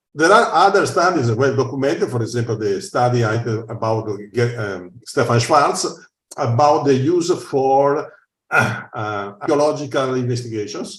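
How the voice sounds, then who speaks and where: Speaking with an Italian accent, a man uses a medium pitch, lively intonation and a fairly slow pace. His voice is somewhat breathy, and the room echo is audible. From Italy. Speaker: researcher. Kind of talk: conference Q&A. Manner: halting.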